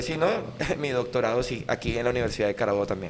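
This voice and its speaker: Speaking very fast with lively intonation, a man with a Venezuelan accent talks at medium pitch. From Venezuela, Lara state (Sarare). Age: 30s. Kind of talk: casual interview chat.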